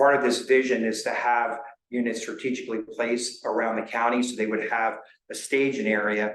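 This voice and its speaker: A man talks at a fairly quick pace in a monotone, flat way. There is audible room echo. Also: medium pitch for a man. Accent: American. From New Jersey. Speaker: county emergency services official. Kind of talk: public meeting presentation. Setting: town board meeting. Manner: fast.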